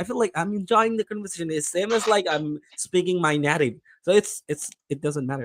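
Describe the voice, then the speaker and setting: A man with an American accent, high in pitch, in a dry, close sound with no echo. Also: ordinary pitch variation. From Bangladesh. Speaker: English learner. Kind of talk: casual chat. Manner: fast.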